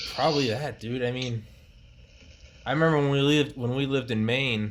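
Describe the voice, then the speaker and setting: Ordinary pitch variation from a man speaking fairly quickly. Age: 20s. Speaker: podcast host. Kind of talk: casual chat. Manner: loud. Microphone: laptop mic recording speakers.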